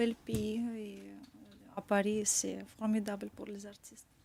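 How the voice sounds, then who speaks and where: Background noise is noticeable in this clip. A woman speaks very slowly. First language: Russian (speaking French). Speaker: painter and fashion designer. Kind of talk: radio interview. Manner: halting.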